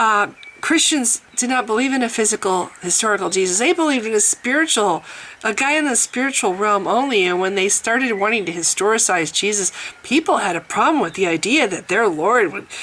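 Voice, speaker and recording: Over noticeable background noise, a woman with a fairly high pitch speaks fairly quickly with lively intonation. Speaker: atheist video blogger. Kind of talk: casual monologue vlog. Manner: animated, sarcastic.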